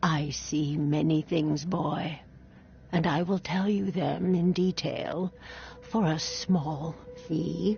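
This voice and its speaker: A put-on character voice at middle pitch and a very slow pace, with clear background noise. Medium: video game. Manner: mysterious, drawn-out.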